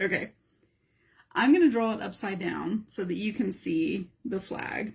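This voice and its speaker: At a fairly slow pace, a woman with a medium pitch speaks with lively intonation and vocal fry. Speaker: art teacher. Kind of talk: live art tutorial. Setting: live stream. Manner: casual, thinking aloud.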